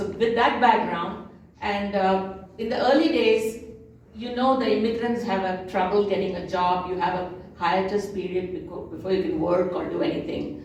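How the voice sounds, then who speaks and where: Speaking at a moderate pace in a Tamil accent, a woman with a medium pitch and ordinary pitch variation is heard over noticeable background noise with audible room echo. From South India, Telugu-speaking region. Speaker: translator and lecturer. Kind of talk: lecture. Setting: cultural center presentation with audience.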